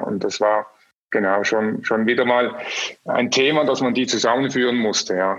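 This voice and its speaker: Here is a man with a plain, everyday voice. He keeps a moderate pace and fairly even intonation. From Switzerland. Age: 40s. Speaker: agency owner. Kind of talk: interview. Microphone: poor sound quality.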